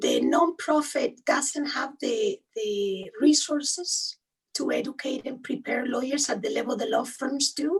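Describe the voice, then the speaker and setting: Speaking at a fairly slow pace, a woman with a high pitch talks with a strong Spanish accent. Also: lively intonation. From Spain. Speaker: human rights lawyer. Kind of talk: interview.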